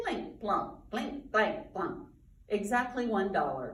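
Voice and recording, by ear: Fairly even intonation in natural-voiced reading aloud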